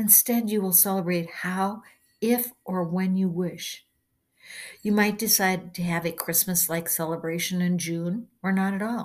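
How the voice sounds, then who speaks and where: A somewhat breathy woman at medium pitch talks at a fairly slow pace with fairly even intonation, on a very clean recording with a silent background. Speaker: channeler reading her blog. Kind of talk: reading aloud.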